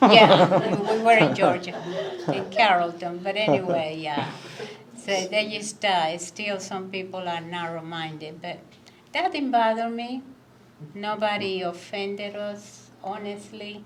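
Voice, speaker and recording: A woman speaks at a fairly slow pace in an ordinary pitch for a woman, with a Cuban accent and ordinary pitch variation. Her loudness swings a lot, and there is audible room echo plus noticeable background noise. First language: Spanish. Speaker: immigrant guest speaker. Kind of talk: candid conversation.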